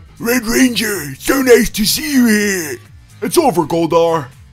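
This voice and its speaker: Over faint background music, a man puts on a high-pitched character voice and talks at a fairly slow pace. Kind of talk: acted movie-style delivery. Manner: dramatic, heroic.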